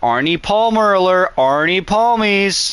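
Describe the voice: In a put-on character voice, a man speaks at a fairly slow pace, sounding nasal and high pitched.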